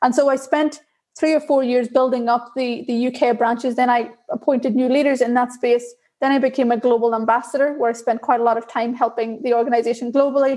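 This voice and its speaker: A woman with an Irish accent talks very fast in a high, dark, mellow voice with monotone, flat intonation. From Northern Ireland, Belfast. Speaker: diversity and inclusion leader in tech. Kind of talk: interview.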